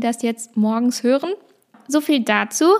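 A woman is speaking. Her pitch is fairly high. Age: 20s. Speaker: podcast host. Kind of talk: casual monologue. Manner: fast.

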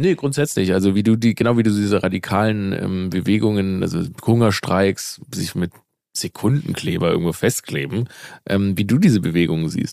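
Speaking at a moderate pace, a man has a fairly low pitch, a dark, mellow tone and ordinary pitch variation. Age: 30s. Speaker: comedian. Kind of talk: casual chat.

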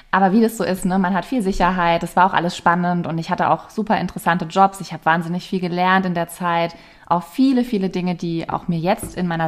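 Her pace is fairly quick. The woman's pitch is medium. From Palatinate, Germany. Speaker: yoga and meditation teacher. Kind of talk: casual interview.

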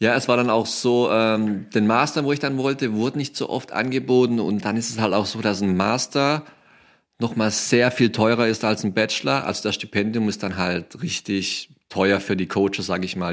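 The recording is very clean, with a silent background. A man talks at a moderate pace in a plain, everyday voice, with medium pitch and ordinary pitch variation. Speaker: former college football player. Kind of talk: interview.

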